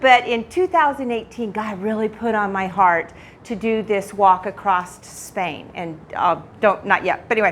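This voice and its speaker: An unremarkable speaking voice moves at a moderate pace with hardly any pauses, ordinary pitch variation and big swings in loudness. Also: woman, medium pitch for a woman. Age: 60s. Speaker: retired teacher sharing testimony in church. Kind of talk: church talk / testimony. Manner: casual, conversational.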